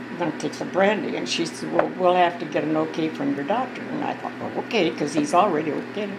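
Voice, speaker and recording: A woman talking at a very fast pace with hardly any pauses, over noticeable background noise. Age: 80s+. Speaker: nursing home resident. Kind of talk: casual family storytelling. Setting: birthday party, family gathering.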